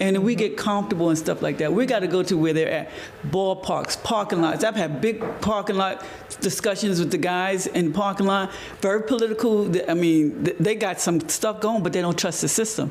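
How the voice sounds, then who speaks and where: High-pitched male speech with noticeable noise in the background. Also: ordinary pitch variation, moderate pace. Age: 60s. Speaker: community organizer. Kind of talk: panel discussion. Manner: animated.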